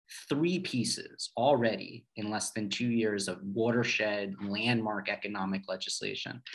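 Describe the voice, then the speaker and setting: A man with an American accent speaks in a normal speaking voice at a medium pitch and a fairly slow pace. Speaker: political consultant. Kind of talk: panel discussion. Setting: video call.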